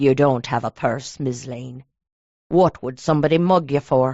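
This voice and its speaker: Pitched low to middle, a put-on character voice moves at a moderate pace. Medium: read story. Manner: curt, hostile.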